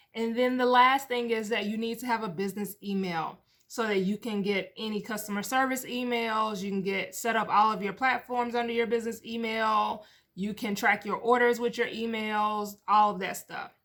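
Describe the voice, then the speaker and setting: A woman's fairly high voice in a monotone, flat intonation at a moderate pace. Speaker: business podcast host and coach. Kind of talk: solo podcast monologue. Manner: casual, conversational; stumbling over words.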